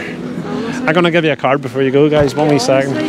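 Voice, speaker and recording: Lively intonation carries the speech while music plays in the background. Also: man. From Northern Ireland, Ballymena. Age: 50s. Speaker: vegan street activist, YouTuber. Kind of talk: casual street conversation.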